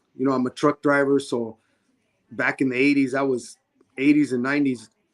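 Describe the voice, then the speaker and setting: A man with an American accent speaks at a medium pitch and a fairly quick pace in a flat monotone. The sound is dry and close, with no echo. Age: 60s. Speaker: boxing referee. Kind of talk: interview testimony.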